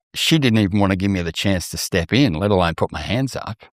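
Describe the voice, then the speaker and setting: Speaking with an Australian accent, a man talks at a fairly quick pace and a fairly low pitch. The recording sounds dry and close with no echo. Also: very clean recording, silent background. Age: 60s. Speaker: mental health advocate and TV presenter. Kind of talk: podcast interview.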